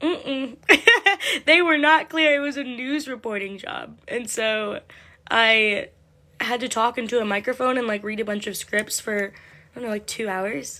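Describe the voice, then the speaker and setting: Speaking at a moderate pace, a woman uses ordinary pitch variation and a bright, sharp tone. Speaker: livestreamer. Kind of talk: casual chat. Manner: casual, filler-heavy.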